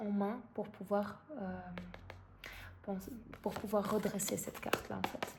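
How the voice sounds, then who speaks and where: Noticeable background noise sits behind a woman at medium pitch. She speaks at a fairly slow pace with fairly even intonation. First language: not French (speaking French). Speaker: tarot card reader. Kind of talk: tarot reading. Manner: halting, many fillers.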